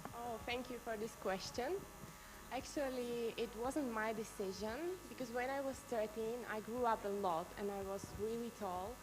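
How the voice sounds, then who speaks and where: A woman with a Slovak accent, fairly high pitch, ordinary pitch variation and moderate pace, amid audible room echo and noticeable background noise. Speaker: beauty pageant contestant. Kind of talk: live Q&A answer.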